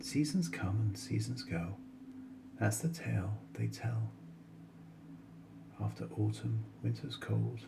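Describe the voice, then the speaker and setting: Over music in the background, a man speaks at a very slow pace in a calm, soothing tone, keeping his loudness very even and leaving long, frequent pauses. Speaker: bedtime story reader. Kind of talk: bedtime poetry reading. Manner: smooth, soothing.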